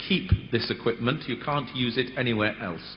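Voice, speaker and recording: This man speaks with a British accent. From United Kingdom. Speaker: conference moderator. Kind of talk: conference moderation. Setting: conference hall with audience.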